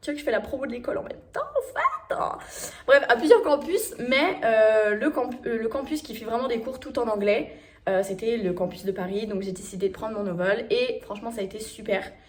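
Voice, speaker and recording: A woman talks at a moderate pace with lively intonation and big swings in loudness. Noticeable background noise runs behind her. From France. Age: 20s. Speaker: travel vlogger. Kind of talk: casual talk to camera.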